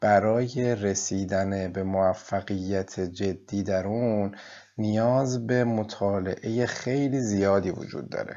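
A man speaks at a very slow pace with a fairly low pitch and fairly even intonation. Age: 40s. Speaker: gastroenterologist and university administrator. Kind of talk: interview. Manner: formal.

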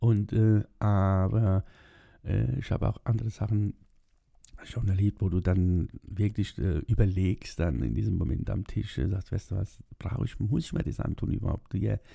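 A man's somewhat breathy voice, fairly low in pitch, at a moderate pace with ordinary pitch variation. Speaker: video blogger. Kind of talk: casual monologue. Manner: hesitant, many fillers.

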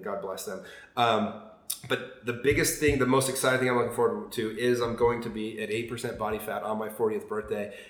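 Over noticeable background noise and audible room echo, a man talks at a fairly quick pace with fairly even intonation. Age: 40s. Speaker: podcast guest. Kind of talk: casual chat.

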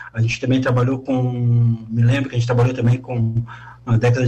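Over noticeable background noise, a man speaks at medium pitch and a moderate pace with monotone, flat intonation. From Tubarão, Santa Catarina, Brazil. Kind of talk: live radio interview. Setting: radio studio. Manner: halting.

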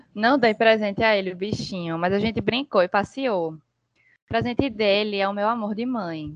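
Using a normal speaking voice, the speaker moves at a moderate pace with ordinary pitch variation. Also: woman, medium pitch for a woman. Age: 20s. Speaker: podcast guest. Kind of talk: casual chat.

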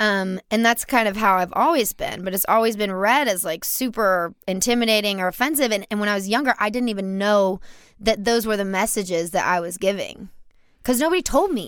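A woman with an ordinary speaking voice and an American accent, fairly quick pace, medium pitch with ordinary variation, very clean recording with a silent background. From US South, Louisiana (Baton Rouge). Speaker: stripper and musician. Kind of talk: casual chat.

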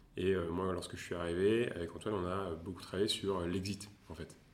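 A man at a moderate pace with very deep, low pitch and ordinary pitch variation, in audible room echo. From France, Tours. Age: 20s. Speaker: venture capital investor. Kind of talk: interview. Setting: coworking space. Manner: halting.

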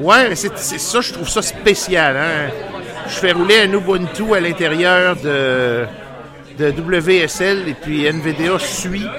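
A man in a Quebec accent at a high pitch with ordinary pitch variation, speaking at a very slow pace over noticeable background noise. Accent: Québécois French. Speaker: radio host. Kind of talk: casual chat. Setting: studio. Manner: halting.

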